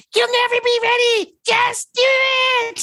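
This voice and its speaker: A put-on character voice shouts in an extremely high, squeaky pitch. The delivery is flat and monotone at a fairly slow pace. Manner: urging, shouting in ear.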